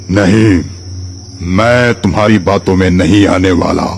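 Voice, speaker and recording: Clear background noise sits behind a man doing a cartoonish character voice. He speaks at a fairly slow pace with a very deep, low pitch. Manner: menacing.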